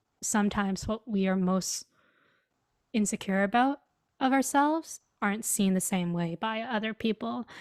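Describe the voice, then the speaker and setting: In a very clean recording with a silent background and a dry, close sound free of echo, a woman speaks fairly slowly at a medium pitch with ordinary pitch variation. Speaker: podcast guest. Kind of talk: casual chat.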